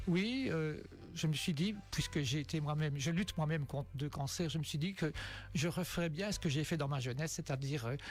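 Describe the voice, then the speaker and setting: Fairly high-pitched man at a fairly quick pace, ordinary pitch variation, very even loudness, music in the background. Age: 60s. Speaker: amateur cyclist, charity fundraiser. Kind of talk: radio interview. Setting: radio studio.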